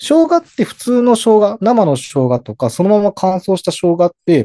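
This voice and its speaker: A man speaks at a moderate pace with a high pitch and a dark, mellow tone. The sound is dry and close, with no echo. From Hokkaido, Japan. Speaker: herbal pharmacist. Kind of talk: explanatory interview.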